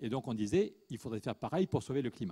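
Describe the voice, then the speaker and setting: A man talks at a very fast pace in a dark, mellow tone, his pitch medium and his intonation lively. The recording is very clean with a silent background, and the sound is dry and close with no echo. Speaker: economist and activist author. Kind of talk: conference panel talk. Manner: animated.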